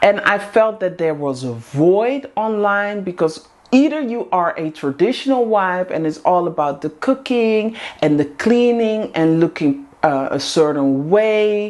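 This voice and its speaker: A woman with a Dutch accent, medium pitch, very wide pitch swings and a fairly slow pace. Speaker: vlogger, housewife community host. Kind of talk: casual monologue to camera. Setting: in front of a camera.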